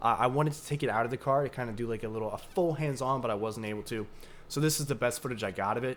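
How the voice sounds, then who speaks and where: A man at medium pitch and a very fast pace, with ordinary pitch variation, on a very clean recording with a silent background. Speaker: crypto YouTuber. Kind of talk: casual vlog narration.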